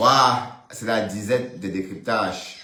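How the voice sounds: This man talks slowly, his fairly low voice bright and sharp, with ordinary pitch variation.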